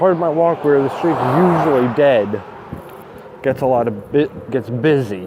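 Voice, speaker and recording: A man's fairly high voice with lively intonation at a fairly slow pace, over noticeable background noise. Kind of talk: casual talk to camera (walking vlog). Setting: outdoors, street with background noise. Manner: soft-spoken, quiet.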